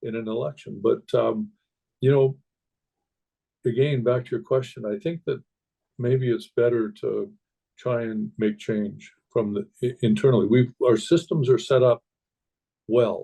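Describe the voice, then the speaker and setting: In a Canadian accent, a man with a dark, mellow tone and medium pitch speaks at a fairly slow pace, somewhat breathy, with long, frequent pauses. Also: ordinary pitch variation. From Canada. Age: 60s. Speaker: hunter. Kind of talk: podcast interview. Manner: halting, many repeated words.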